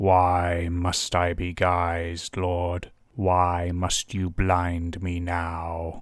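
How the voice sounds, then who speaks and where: A man uses a put-on character voice that is growling and gravelly, with a very deep, low pitch and a solemn tone. He speaks at a very slow pace with hardly any pauses, his intonation monotone and flat. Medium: read story. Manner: growling, solemn.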